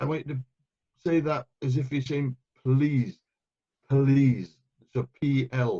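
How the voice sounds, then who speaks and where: A man with a Welsh accent, very slow and with long, frequent pauses, somewhat breathy, dark and mellow in tone, with fairly even intonation and a dry, close sound with no echo. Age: 60s. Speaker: euphonium player and conductor. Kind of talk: interview. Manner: hesitant, repeats words.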